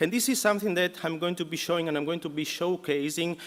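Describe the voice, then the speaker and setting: Man with an Italian accent and ordinary pitch variation. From Italy. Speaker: professor. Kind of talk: lecture. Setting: conference hall with audience. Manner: hesitant, many fillers.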